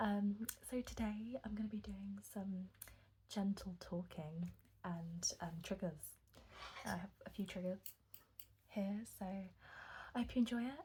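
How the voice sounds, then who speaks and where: Soft-spoken and somewhat breathy, a woman talks at a medium pitch with a dark, mellow tone and ordinary pitch variation. Her pace is fairly slow, with long, frequent pauses. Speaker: ASMR creator. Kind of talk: ASMR soft-spoken rambling.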